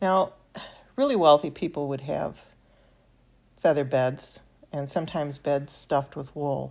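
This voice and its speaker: A woman speaks at a very deep, low pitch with fairly even intonation. Her pace is fairly slow, with long, frequent pauses, in a very clean recording with a silent background. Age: 70s. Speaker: miniature craft hobbyist. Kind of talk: tutorial. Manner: halting, with fillers.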